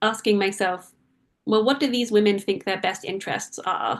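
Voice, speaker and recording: A woman speaks with a British accent. Her pitch is medium, with ordinary variation. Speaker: author and freelance journalist. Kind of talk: book talk interview.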